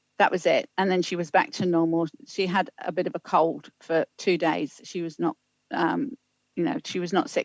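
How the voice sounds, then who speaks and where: A woman with a British accent at a fairly low pitch and moderate pace, dry and close with no echo, against a quiet background. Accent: UK. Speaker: public health official. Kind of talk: council meeting briefing.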